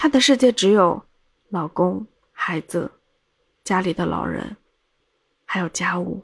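A woman's voice with vocal fry and lively intonation, fairly slow pace with long, frequent pauses, in a dry, close sound with no echo. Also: medium pitch for a woman. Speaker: podcast host, storyteller. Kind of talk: casual storytelling monologue.

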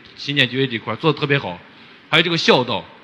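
Noticeable noise can be heard in the background while a man talks. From Xinjiang, Hotan. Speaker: rural teacher. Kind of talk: audience question. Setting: stage with audience. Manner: halting.

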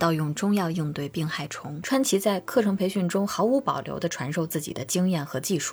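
The voice is somewhat breathy and calm in tone, with hardly any pauses, in a very clean recording with a silent background. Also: woman. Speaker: podcast host. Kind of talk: scripted narration.

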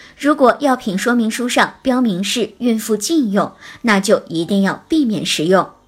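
Fairly high-pitched and somewhat breathy, a woman talks at a fairly slow pace with lively intonation. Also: very clean recording, silent background. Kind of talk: scripted narration. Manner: formal.

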